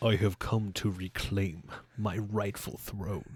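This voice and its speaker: In a put-on character voice, a man speaks at a fairly low pitch and a fairly slow pace. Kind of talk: dramatic, theatrical. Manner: dark, evil.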